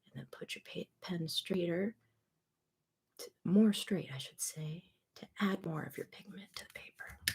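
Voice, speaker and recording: The voice is soft-spoken, at a fairly slow pace. Long pauses come often. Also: woman. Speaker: coloring book artist. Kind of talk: casual tutorial talk to camera. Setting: home studio, mic recording.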